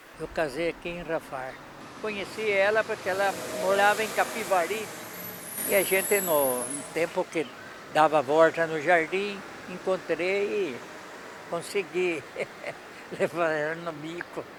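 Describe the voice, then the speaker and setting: A man with a high pitch speaks at a fairly slow pace, leaving long, frequent pauses. Noticeable background noise is present. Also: ordinary pitch variation. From Brazil, São Paulo state interior. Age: 80s+. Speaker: retired milkman. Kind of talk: interview testimony.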